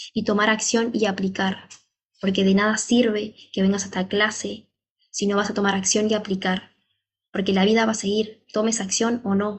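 A woman speaks at a moderate pace and medium pitch, somewhat breathy. Her intonation is monotone and flat, her loudness very even. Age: 30s. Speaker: fitness trainer and wellness coach. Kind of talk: motivational monologue.

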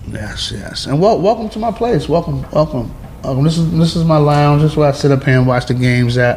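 Over noticeable background noise, a man with an American accent talks at a fairly quick pace, his fairly high voice carried by lively intonation. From New York (Flushing, Queens). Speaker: rapper. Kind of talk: casual interview. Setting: penthouse apartment, New York City. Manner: halting, repetitive.

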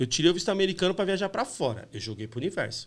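A man's fairly high voice with vocal fry and very wide pitch swings, on a very clean recording with a silent background. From São Paulo, east zone (Itaquera). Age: 40s. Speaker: graffiti artist. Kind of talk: casual chat.

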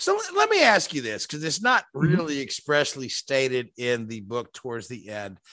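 With an ordinary speaking voice, a man talks at a fairly quick pace and medium pitch, his intonation lively, his loudness swinging widely and hardly any pauses between words. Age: 50s. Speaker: motorsport podcast host. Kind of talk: casual chat.

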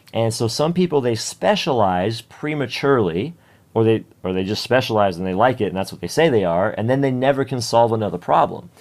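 A man with a normal speaking voice talks at a medium pitch in a General American accent. He moves at a fairly quick pace with lively intonation, on a very clean recording with a silent background. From US West Coast (San Diego). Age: 30s. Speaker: fitness coach. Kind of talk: interview.

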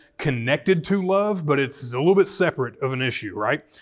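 A man with a Southern US accent at a moderate pace, ordinary pitch variation and a very clean recording with a silent background. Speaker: pastor. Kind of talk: Bible study teaching with prayers. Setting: church room with live audience.

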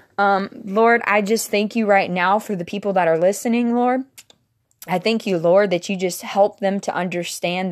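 A woman's ordinary speaking voice, medium in pitch, at a moderate pace with fairly even intonation. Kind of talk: fervent prayer, sincere and devotional, addressed to God; casual devotional talk. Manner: earnest, warm, conversational; fervent, heartfelt, flowing with repeated 'Lord'.

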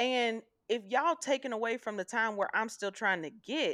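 A woman's fairly high, bright, sharp voice with an animated tone and lively intonation, at a moderate pace, over a quiet background. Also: dry, close sound with no echo. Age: 30s. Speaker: podcast co-host. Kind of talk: casual chat.

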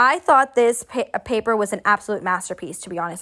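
Over a silent background in a very clean recording, a woman with a fairly high pitch talks at a fairly quick pace. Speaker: podcast host, astrologer and tarot reader. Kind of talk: casual solo monologue. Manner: frequent laughter, casual with fillers.

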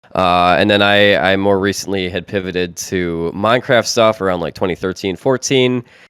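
At a moderate pace, a man talks with hardly any pauses, in a plain, everyday voice. His pitch is fairly low, with ordinary variation. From US Midwest. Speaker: podcast co-host. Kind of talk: casual chat.

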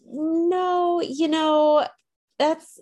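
In a very clean recording with a silent background, a woman speaks with a Midwestern US accent. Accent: US Midwest. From central Illinois. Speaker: adoptee and writer. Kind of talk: interview.

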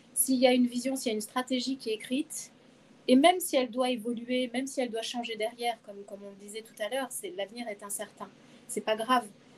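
Talking at a very fast pace, a woman with a high pitch keeps her intonation fairly even while her loudness swings widely. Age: 50s. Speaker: HR director. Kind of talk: interview. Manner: hesitant, many fillers.

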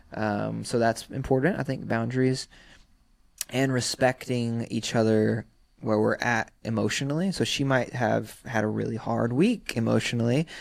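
This man has a normal speaking voice with medium pitch and ordinary pitch variation. He speaks at a moderate pace on a very clean recording with a silent background. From US South, South Carolina (Sumter). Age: 30s. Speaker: rapper and actor. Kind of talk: casual chat. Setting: studio.

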